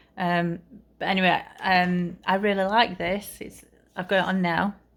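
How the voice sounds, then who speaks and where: Her intonation monotone and flat, a woman talks in a British accent. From UK. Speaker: vlogger. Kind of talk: casual vlog talk. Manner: halting, many fillers.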